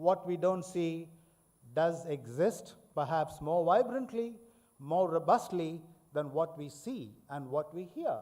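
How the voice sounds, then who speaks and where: A dark, mellow tone comes at a very slow pace with lively intonation. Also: man, high pitch for a man. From India. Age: 70s. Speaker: professor. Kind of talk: lecture. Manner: formal.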